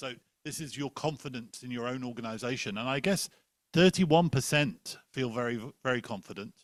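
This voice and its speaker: A man with an English accent, medium pitch, ordinary pitch variation and a fairly quick pace. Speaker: panel moderator. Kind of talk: moderated panel discussion. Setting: conference room with online audience.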